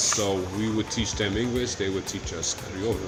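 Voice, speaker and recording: A man in a Massachusetts accent speaks at a moderate pace and fairly low pitch with monotone, flat intonation. Audible room echo and noticeable background noise surround him. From Brockton, Massachusetts, of Cape Verdean parents. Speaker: DJ. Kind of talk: casual chat.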